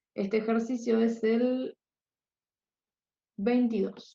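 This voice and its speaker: A soft-spoken woman talks with a fairly high pitch. Her voice is somewhat breathy, with a dark, mellow tone. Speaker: chemistry tutor. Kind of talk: lecture.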